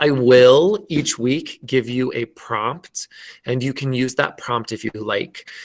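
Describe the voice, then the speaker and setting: A man with an American accent, very slow pace and ordinary pitch variation. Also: medium pitch for a man. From Minnesota, US. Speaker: elementary school teacher. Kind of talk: online class lesson. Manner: slow, clear enunciation.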